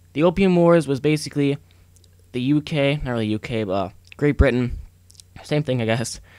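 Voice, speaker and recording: A man talks at a fairly high pitch and a fairly quick pace, with ordinary pitch variation and long, frequent pauses. The recording is very clean, with a silent background. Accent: American. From United States. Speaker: gaming commentator. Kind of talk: gameplay commentary. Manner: fast, few pauses for breath.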